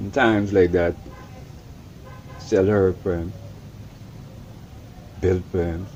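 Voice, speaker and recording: A man's very deep, low voice with a Caribbean accent, flat and monotone, very slow with long, frequent pauses, over noticeable background noise. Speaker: Rastafarian elder. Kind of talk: interview answer, storytelling.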